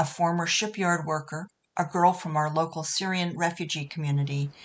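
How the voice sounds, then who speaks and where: Using an ordinary speaking voice with an American accent, a woman talks at a fairly low pitch and fairly quick pace with fairly even intonation. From New England, US. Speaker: poet. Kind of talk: poetry reading; spoken explanation of a poem.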